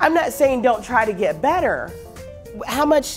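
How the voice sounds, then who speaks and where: Over music in the background, a woman with an American accent speaks at a moderate pace in an energetic, passionate tone with lively intonation. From Houston, United States. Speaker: professional speaker and trainer. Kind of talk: motivational seminar talk. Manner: energetic, passionate, humorous.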